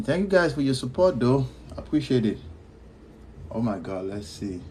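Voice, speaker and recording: Somewhat breathy, a man speaks at a medium pitch and moderate pace, his pitch swinging very widely. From Nigeria. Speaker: podcast host. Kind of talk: live stream chat. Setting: live stream.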